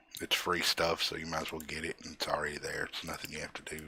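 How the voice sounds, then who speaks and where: A man's voice with noticeable background noise. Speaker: gaming tutorial creator. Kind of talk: tutorial. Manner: casual with filler words.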